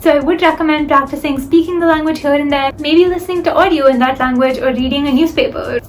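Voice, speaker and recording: A woman's high voice at a fairly quick pace, fairly even intonation, and music in the background. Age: young. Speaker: student vlogger. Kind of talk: advice vlog.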